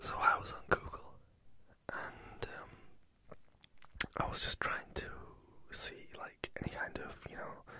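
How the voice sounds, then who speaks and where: Someone whispers at a fairly slow pace, leaving long, frequent pauses, with noticeable background noise behind. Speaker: ASMR creator. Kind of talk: casual Q&A talk to camera. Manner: whispered.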